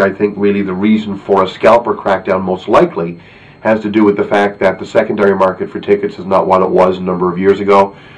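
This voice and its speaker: A man speaks at a fairly quick pace in a fairly low voice. There is noticeable background noise. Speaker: football fan video blogger. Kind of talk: video blog commentary. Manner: hesitant, many filler words.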